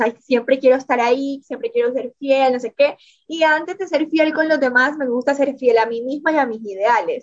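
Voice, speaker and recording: A woman talks at a moderate pace in a high pitch. Her pitch variation is ordinary. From Colombian Caribbean coast (Córdoba). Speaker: book influencer. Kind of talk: interview.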